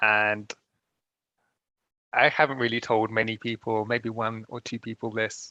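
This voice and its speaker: A bright, sharp tone in a London accent, monotone and flat, at a fairly slow pace with long, frequent pauses, dry and close with no echo against a quiet background. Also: man, medium pitch for a man. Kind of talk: panel discussion. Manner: halting, repeats words.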